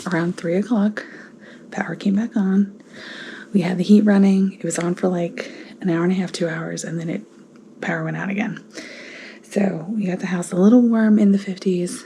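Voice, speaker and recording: A woman uses a put-on character voice that is raspy, at a medium pitch. She keeps a moderate pace and fairly even intonation. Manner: whispering.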